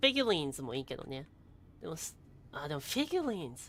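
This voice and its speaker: Talking at a very fast pace, a woman uses a very deep, low pitch with very wide pitch swings. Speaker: VTuber, game streamer. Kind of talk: casual live game commentary.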